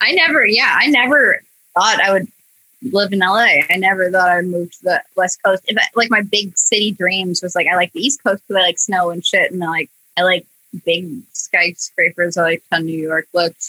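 A woman with a Midwestern US accent speaks at a medium pitch and moderate pace, in a bright, sharp tone with ordinary pitch variation and a dry, close sound with no echo. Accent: US Midwest. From Iowa, US Midwest. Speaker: animator and comedy video creator. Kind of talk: casual chat.

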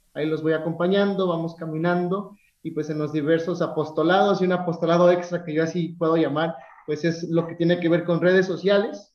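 The speaker moves at a fairly quick pace with monotone, flat intonation. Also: man, high pitch for a man. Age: 30s. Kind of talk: casual interview.

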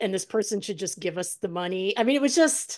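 A woman in a quiet room uses an unremarkable speaking voice at medium pitch with ordinary pitch variation. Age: 50s. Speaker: podcast host. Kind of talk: casual interview.

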